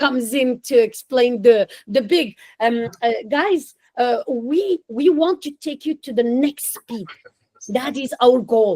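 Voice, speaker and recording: This speaker talks very slowly with a non-native accent. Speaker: English teacher. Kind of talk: online class.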